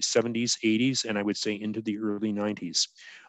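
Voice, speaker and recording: In a Canadian accent, a man with a fairly low pitch speaks in a monotone, flat intonation. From Canada, New Brunswick. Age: 60s. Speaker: clergy presenter. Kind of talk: webinar lecture. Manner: halting, many fillers.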